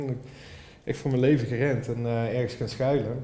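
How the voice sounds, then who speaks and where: Very fast, flat, monotone speech from a man at a medium pitch, dark and mellow in tone, with audible room echo. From Limburg, Netherlands (Horst). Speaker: copywriter and band musician. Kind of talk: casual chat.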